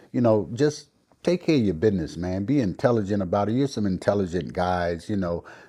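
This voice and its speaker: Lively intonation marks this man's dark, mellow tone. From Chicago, US Midwest. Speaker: podcast guest. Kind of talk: casual chat.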